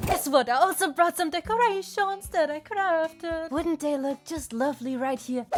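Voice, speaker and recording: A woman's extremely high voice at a moderate pace, lively in intonation, over noticeable background noise. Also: hardly any pauses. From Germany. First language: German. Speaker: vlogger. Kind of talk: vlog narration. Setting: gas station shop.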